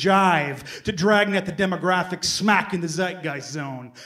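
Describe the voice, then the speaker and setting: An energetic man speaks with a high pitch and ordinary pitch variation. Noticeable background noise sits under his voice. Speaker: performance poet. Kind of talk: spoken word poetry performance. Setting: live reading. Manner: declamatory, energetic.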